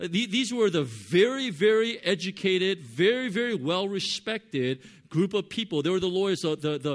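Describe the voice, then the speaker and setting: A man with a Californian accent and a high pitch swings his pitch very widely in a very clean recording with a silent background. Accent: Californian American English. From Southern California. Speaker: pastor. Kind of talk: sermon. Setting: church. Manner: halting, many fillers.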